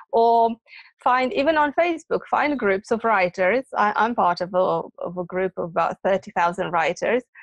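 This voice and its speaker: In a Romanian accent, a woman with a fairly high pitch talks at a moderate pace with lively intonation, in a dry, close sound with no echo. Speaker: academy founder and author. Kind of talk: interview. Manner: hesitant, many fillers.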